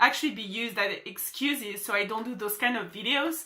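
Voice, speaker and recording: At a moderate pace, a woman with a French accent speaks in a high pitch with a bright, sharp tone and ordinary pitch variation. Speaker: social media marketer. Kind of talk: motivational vlog. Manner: animated.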